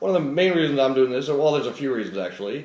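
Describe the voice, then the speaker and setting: The speaker has an American accent. Room echo can be heard. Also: man. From Florida. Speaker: casting applicant. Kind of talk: casting video self-introduction.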